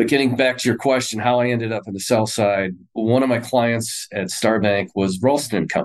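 In a normal speaking voice of medium pitch, a man talks at a fairly quick pace with ordinary pitch variation and hardly any pauses. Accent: American. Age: 50s. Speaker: investment firm president. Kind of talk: interview.

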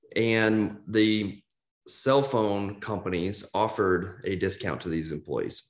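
A man's fairly low voice at a very slow pace. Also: ordinary pitch variation. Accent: Midwestern American. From US Midwest, Kansas City. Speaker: entrepreneur. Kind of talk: interview.

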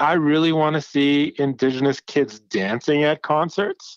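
Sounding dry and close with no echo, an ordinary speaking voice moves at a fairly slow pace with ordinary pitch variation. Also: man. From Manitoba, Canada, Anishinaabe. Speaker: music festival director. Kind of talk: interview.

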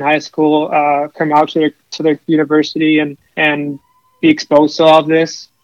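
A man's fairly high-pitched voice with an American accent, at a moderate pace, dry and close with no echo. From central New York, US. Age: 20s. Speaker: commodities trader. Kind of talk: interview. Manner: halting, repeats words.

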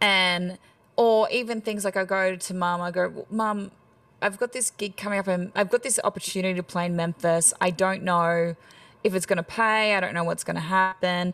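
A woman with an Australian accent, moderate pace and fairly even intonation. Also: medium pitch for a woman. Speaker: country singer. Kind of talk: casual interview chat.

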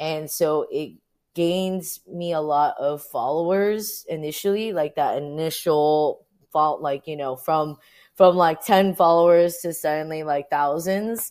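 A woman's fairly low voice, a plain, everyday voice, with ordinary pitch variation and a fairly slow pace, on a very clean recording with a silent background. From US, Orange County, California. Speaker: activist photographer. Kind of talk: interview. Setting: livestream.

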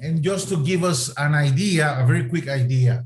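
Speaking with a Latin American accent, a man uses a fairly high pitch, lively intonation and a somewhat breathy sound. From Costa Rica. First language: Spanish. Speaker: missionary and mission network leader. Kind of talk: prayer session address.

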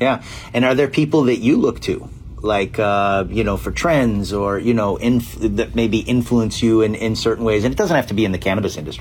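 Over noticeable background noise, a man at medium pitch talks at a fairly quick pace with ordinary pitch variation. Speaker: podcast host interviewer.

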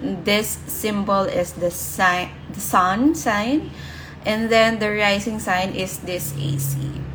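Through noticeable background noise, a woman at medium pitch speaks at a very slow pace with lively intonation. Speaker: brand strategist and podcast host. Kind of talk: live Instagram session talk, rebroadcast as podcast. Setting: Instagram live session. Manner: soft-spoken, gentle; informal, with filler words.

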